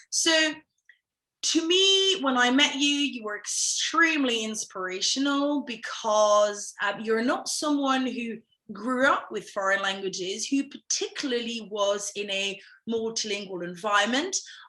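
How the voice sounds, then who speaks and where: In a British accent, a woman speaks with a bright, sharp tone at a fairly high pitch. Her pace is fairly slow and her intonation lively. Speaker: language academy founder and interviewer. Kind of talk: interview host.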